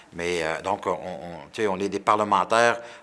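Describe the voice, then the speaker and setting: A man's fairly low-pitched voice. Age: 60s. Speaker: politician. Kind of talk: interview. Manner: halting, many repetitions and fillers; animated.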